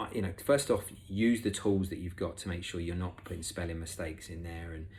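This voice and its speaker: A man with an English accent speaks at a fairly quick pace in a very deep, low voice that is somewhat breathy, with ordinary pitch variation and audible room echo. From England. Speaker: recruitment expert, conference speaker. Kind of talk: conference talk. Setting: remote presentation. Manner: casual, with many fillers.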